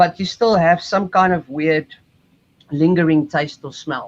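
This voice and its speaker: A man speaks with a South African accent. The sound is dry and close, with no echo. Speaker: cruise ship musician. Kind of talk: interview.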